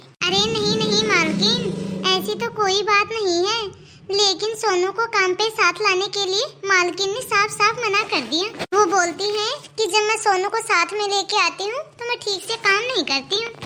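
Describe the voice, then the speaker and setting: A cartoonish character voice from a woman, extremely high in pitch, with ordinary pitch variation and a moderate pace. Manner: humble, warm, respectful.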